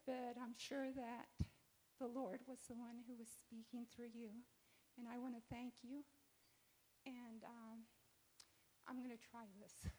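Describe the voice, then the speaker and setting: The delivery is monotone and flat, fairly slow, and broken by long, frequent pauses. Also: woman, high pitch for a woman. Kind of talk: testimony.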